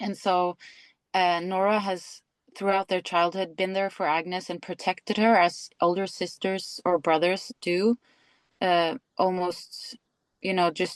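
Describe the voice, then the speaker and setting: A woman with a Norwegian accent and medium pitch speaks at a fairly slow pace, her voice dry and close with no echo against a quiet background. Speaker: actress. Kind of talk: interview. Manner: hesitant, searching for words.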